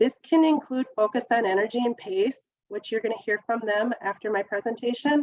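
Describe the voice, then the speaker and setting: In a normal speaking voice, a woman speaks at a moderate pace with fairly high pitch and ordinary pitch variation, the sound dry and close with no echo. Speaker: government grant program specialist. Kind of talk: webinar presentation. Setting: webinar.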